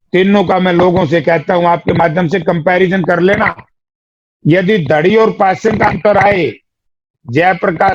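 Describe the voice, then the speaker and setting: The man's voice sits at a high pitch and shows ordinary pitch variation. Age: 60s. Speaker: politician, former MP and MLA. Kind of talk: political interview.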